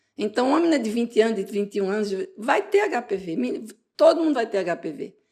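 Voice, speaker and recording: A woman with a fairly high voice talks very fast, her pitch swinging very widely. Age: 60s. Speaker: gynecologist. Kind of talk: interview. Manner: animated.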